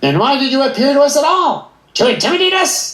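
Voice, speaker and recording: A high-pitched put-on character voice runs at a fairly quick pace. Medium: short film. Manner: suspicious, anxious.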